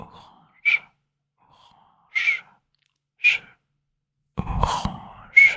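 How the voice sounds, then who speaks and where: Very slowly, a man whispers. Long pauses break up his words often. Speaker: new ASMR creator. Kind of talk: ASMR whisper introduction. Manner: whispered, soft-spoken.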